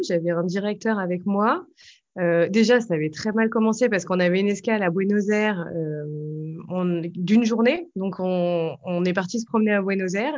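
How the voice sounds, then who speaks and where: A woman with a plain, everyday voice, medium pitch, a moderate pace and ordinary pitch variation. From French Alps, later Belgium. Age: 30s. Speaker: author and former journalist. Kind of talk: interview.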